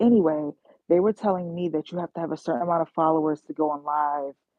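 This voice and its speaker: In an animated tone, a woman speaks with a very deep, low pitch and ordinary pitch variation. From New York. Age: 30s. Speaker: YouTuber and travel nursing assistant. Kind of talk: casual livestream chat.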